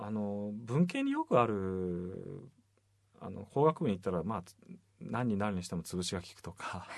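At a moderate pace, a man talks in a normal speaking voice with a fairly low pitch. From Kitakyushu, Fukuoka. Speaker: novelist, radio host. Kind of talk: casual chat.

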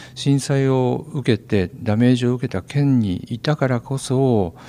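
This man has a normal speaking voice at a medium pitch, with ordinary pitch variation. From Kanto region. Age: 60s. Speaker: forest park director. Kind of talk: interview.

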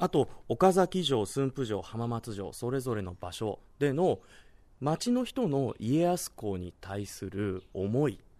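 A man speaks at a medium pitch with a dark, mellow tone and very wide pitch swings. The background is quiet. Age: 30s. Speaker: travel reporter. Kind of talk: on-location travel reporting. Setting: outdoors.

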